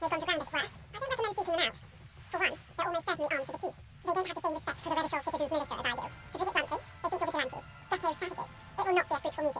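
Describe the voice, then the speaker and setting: Using a put-on character voice at an extremely high pitch, a woman rattles along at a very fast pace over clear background noise. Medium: video game. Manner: formal, measured.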